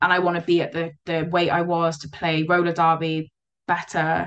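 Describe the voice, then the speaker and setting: This woman speaks with a Cardiff accent at a fairly low pitch. Her delivery is fairly slow, with monotone, flat intonation. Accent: Welsh (Cardiff area). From Wales, Cardiff. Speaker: roller derby player with type 1 diabetes. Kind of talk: casual interview.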